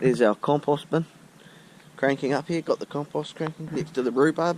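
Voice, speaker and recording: This man speaks with a New Zealand accent at a fairly high pitch, recorded with a dry, close sound and no echo. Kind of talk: casual talk to camera. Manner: hesitant, casual.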